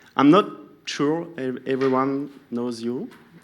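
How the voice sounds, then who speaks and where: Speaking at a very slow pace, a man with a French accent keeps a medium pitch and fairly even intonation. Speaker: session moderator at a sports science event. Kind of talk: formal speaker introduction. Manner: halting.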